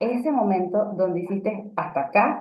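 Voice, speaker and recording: A woman with an unremarkable speaking voice keeps a moderate pace, her pitch varying in an ordinary way. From Venezuela. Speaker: radio announcer and communication coach. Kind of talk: casual interview chat.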